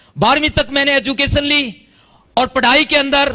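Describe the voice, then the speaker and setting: A man speaks in a raised, projected voice. His tone is bright, sharp and animated. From Haryana, India. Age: 40s. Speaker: ex-army network marketer. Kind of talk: motivational stage testimony. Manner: animated, repetitive emphasis.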